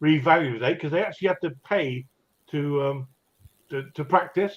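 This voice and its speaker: Someone with a British accent speaks at a moderate pace with ordinary pitch variation. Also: man. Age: 60s. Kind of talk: casual chat.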